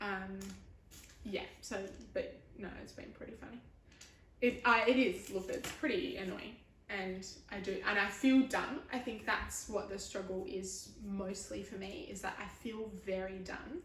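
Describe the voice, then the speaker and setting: With an Australian accent, a woman talks at a medium pitch with ordinary variation in it. Her volume rises and falls sharply amid audible room echo and noticeable background noise. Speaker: chronic illness vlogger. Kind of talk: casual chat. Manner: halting, stumbling over words.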